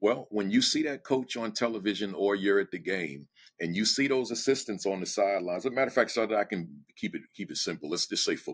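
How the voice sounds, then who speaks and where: A man with a New Jersey accent talks at a very fast pace with hardly any pauses, his pitch fairly low. The recording is very clean, with a silent background. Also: ordinary pitch variation. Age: 60s. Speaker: education speaker and former principal. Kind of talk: podcast interview. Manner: direct; animated.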